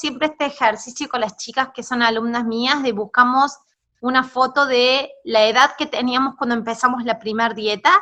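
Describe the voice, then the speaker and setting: A woman speaks at a moderate pace with a high voice. Her tone is bright and sharp, and her intonation stays fairly even. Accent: Rioplatense. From Argentina. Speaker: body image coach, former gym owner. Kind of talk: interview conversation. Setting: video call.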